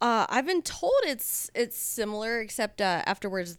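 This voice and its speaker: A woman with an American accent speaks at a fairly slow pace with very wide pitch swings, on a very clean recording with a silent background. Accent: slight Southern accent at times. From Southern California. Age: 30s. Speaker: adult film performer. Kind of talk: casual chat. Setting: studio.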